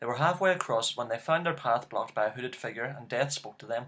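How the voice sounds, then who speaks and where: A man with a Northern Irish accent talks very fast with lively intonation. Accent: Northern Irish (Belfast). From Northern Ireland, Belfast. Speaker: YouTuber. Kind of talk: reading aloud; casual chat.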